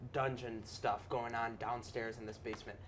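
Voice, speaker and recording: In a put-on character voice, someone whispers quietly and breathily at a moderate pace while music plays in the background. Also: man. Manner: whispering, secretive.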